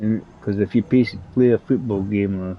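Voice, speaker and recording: Speaking in a Scottish accent, a man talks at a fairly slow pace with a fairly low pitch and fairly even intonation. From Scotland, Edinburgh. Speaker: gaming streamer. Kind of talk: live gameplay commentary. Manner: casual, rambling with hesitations.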